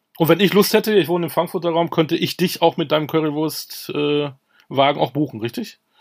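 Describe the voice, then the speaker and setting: Fairly high for a man, this voice moves at a fairly quick pace with ordinary pitch variation in a normal speaking voice. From Münster, Germany. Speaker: podcast host. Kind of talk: interview.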